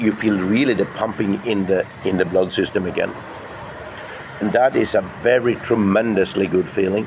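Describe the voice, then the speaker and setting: A man with a fairly low pitch speaks at a moderate pace with long, frequent pauses. His loudness stays very even and his intonation fairly even, with noticeable background noise behind him. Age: 60s. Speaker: fitness vlogger. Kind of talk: casual vlog monologue. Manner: halting.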